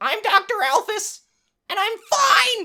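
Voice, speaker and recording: In a put-on character voice, a female-sounding speaker goes extremely high and squeaky at a fairly slow pace. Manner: nervous.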